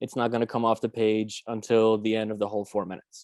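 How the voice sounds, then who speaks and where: A man speaks with a dark, mellow tone. The sound is dry and close with no echo, over a quiet background. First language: Romanian. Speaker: workshop facilitator. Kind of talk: guided writing exercise instructions. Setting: video call. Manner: casual.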